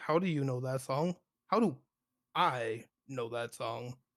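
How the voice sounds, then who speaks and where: Slow-ish and fairly measured, a man puts on a character voice at medium pitch in a very clean recording with a silent background. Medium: actual play. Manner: flat, formal, detached.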